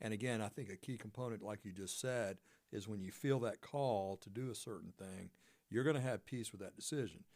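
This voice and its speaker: At a fairly quick pace, an unremarkable speaking voice moves with ordinary pitch variation. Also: man, fairly low pitch for a man. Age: 60s. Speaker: radio talk show host. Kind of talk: faith-based interview chat. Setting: radio studio.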